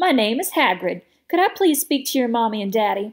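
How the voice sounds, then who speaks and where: A woman's put-on character voice, high-pitched, with very wide pitch swings and a fairly quick pace. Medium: read story. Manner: friendly, beaming, earnest.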